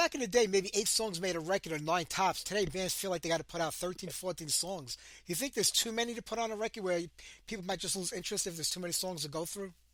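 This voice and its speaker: A man's high voice with a Brooklyn accent, very fast delivery, and ordinary pitch variation. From New York City, Brooklyn. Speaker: radio host. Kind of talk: interview.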